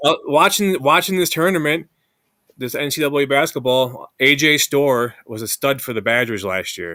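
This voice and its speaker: Bright and sharp in tone, a man's fairly high voice moves at a moderate pace with lively intonation on a very clean recording with a silent background. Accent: Upper Midwest. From Madison, Wisconsin. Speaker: podcast host. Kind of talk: casual sports podcast conversation.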